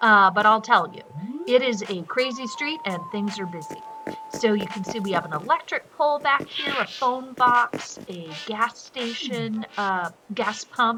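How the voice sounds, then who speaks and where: Over background music, a woman speaks at a fairly slow pace with lively intonation and big swings in loudness. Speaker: gaming video creator. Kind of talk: casual gameplay commentary.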